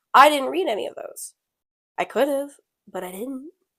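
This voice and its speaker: A woman speaks at a high pitch, her voice swinging very widely up and down. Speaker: podcast co-host. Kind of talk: casual chat. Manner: loud.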